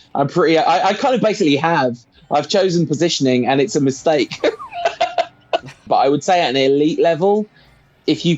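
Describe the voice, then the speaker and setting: A man with a fairly high pitch speaks fairly quickly, leaving long, frequent pauses, his pitch varying in an ordinary way. His loudness stays very even against noticeable background noise. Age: 40s. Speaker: podcaster and gamer. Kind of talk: casual interview chat.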